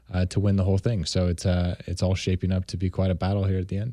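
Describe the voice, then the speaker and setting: A man with an American accent talks at a fairly quick pace. The background is quiet. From California. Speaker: racing driver. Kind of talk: radio interview.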